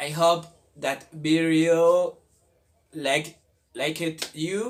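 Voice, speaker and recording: A man with a Spanish accent talks very slowly in a high-pitched voice. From Colombia. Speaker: language video creator. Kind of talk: casual tutorial. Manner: halting, many fillers.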